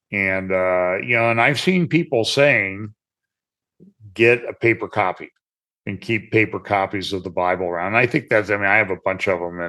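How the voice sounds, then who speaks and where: Bright and sharp in tone, a man with an American accent talks with lively intonation over a quiet background. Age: 70s. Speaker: pastor and trial lawyer. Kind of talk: podcast interview.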